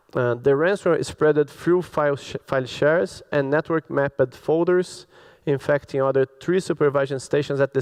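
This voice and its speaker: A man with a Brazilian Portuguese accent talks at a moderate pace in a fairly high pitch. His intonation stays fairly even, and the sound is dry and close with no echo. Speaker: cybersecurity expert. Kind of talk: conference talk.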